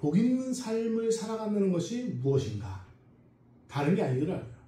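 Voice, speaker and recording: With audible room echo, a man in a non-native accent talks at a moderate pace, his pitch swinging very widely. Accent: non-native Korean, self-described weak Korean. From South America (emigrated from Korea at six). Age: 40s. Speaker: pastor, Bible school lecturer. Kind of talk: sermon. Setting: church service. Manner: hesitant, many fillers.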